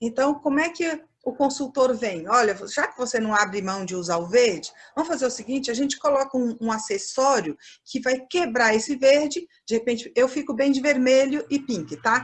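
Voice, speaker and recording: A woman's high voice with lively intonation. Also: moderate pace. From Minas Gerais, Brazil, near Bahia border. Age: 50s. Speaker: fashion professor. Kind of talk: lecture.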